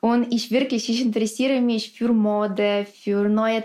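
A woman with a fairly high pitch talks very slowly, her intonation fairly even. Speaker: professional dancer. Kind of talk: interview.

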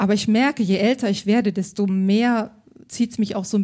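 A woman speaks very fast in a somewhat breathy, dark, mellow voice at a medium pitch, her intonation fairly even. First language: bilingual German and French (speaking German). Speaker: stylist. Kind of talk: live podcast interview. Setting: stage with audience.

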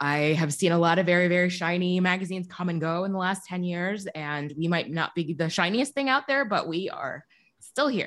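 With an American accent, a woman uses an ordinary speaking voice, fairly low in pitch, with lively intonation and hardly any pauses against a quiet background. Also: moderate pace. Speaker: newspaper co-publisher and editor. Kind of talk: interview.

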